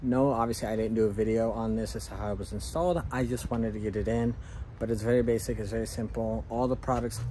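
A man races along at a very fast pace, his pitch varying in an ordinary way, with light background noise present. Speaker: gardening channel host. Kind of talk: casual vlog chat. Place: garden. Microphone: phone near.

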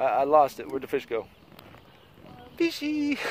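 A man at a moderate pace, in a dry sound with no echo. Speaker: vlogger. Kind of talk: casual vlog chat. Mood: playful, slightly uneasy. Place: beach. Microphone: phone near.

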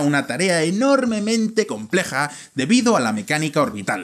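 A man with a Spanish accent against a quiet background. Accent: Spanish (Valladolid) accent in English. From Spain, Valladolid; Spain. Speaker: video presenter; presenter. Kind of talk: scripted narration. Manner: animated. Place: studio. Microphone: studio mic.

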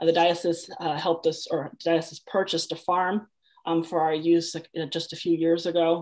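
A woman with an American accent talks at a moderate pace and a fairly low pitch. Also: quiet background. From Washington State, Grays Harbor County; Washington State. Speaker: Episcopal priest and community organizer; priest. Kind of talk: interview conversation. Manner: halting, many fillers and repetitions. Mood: earnest, thoughtful. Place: home room. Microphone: video call.

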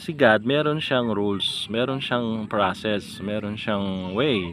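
A man of medium pitch speaks with lively intonation. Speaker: lay preacher vlogger. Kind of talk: informal devotional talk. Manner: casual, hesitant with fillers.

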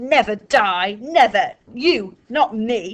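Using a put-on character voice, a woman growls and hisses at a very slow pace, her fairly high pitch jumping through very wide swings. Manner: snarling, hissing.

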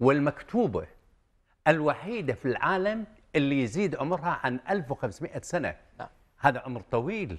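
A man at a fairly high pitch with very wide pitch swings, big swings in loudness and a moderate pace, against a quiet background. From Kuwait. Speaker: software company founder; guest. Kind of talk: TV interview. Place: studio. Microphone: lapel.

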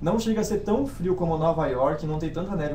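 Against noticeable background noise, a man with a Brazilian accent talks very fast at a fairly high pitch with ordinary pitch variation. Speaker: exchange student. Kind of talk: informational webinar.

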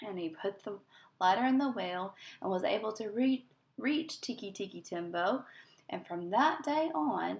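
This is plain reading aloud, carried by lively intonation.

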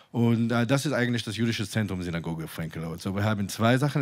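Speaking very fast with an Israeli accent, a man uses a fairly low pitch and ordinary pitch variation over a quiet background. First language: Hebrew (speaking German). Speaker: synagogue community organizer; guest. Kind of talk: panel discussion. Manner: halting, many fillers. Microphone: handheld.

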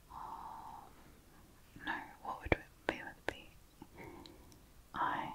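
A woman whispers at a very slow pace. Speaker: ASMR creator. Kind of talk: ASMR crossword video, close whispering. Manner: close whispered, soft, slow, hesitant. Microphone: studio mic.

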